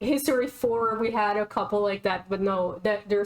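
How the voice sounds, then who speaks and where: A woman speaks with a non-native accent and ordinary pitch variation. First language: not English. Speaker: YouTube reaction creator ranking shows. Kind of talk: casual chat reviewing TV shows. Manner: animated.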